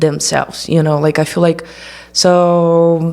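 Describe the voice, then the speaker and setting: A woman with a Brazilian accent and a fairly low pitch. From Brazil, small town. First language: Portuguese. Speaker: documentary filmmaker. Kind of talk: interview. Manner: halting, many fillers.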